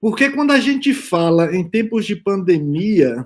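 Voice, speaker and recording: A man's lively intonation comes through on a very clean recording against a silent background. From Brazil, Bahia backcountry (Northeast). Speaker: immunologist, panel speaker. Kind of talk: conference talk. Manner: hesitant fillers, repeated words.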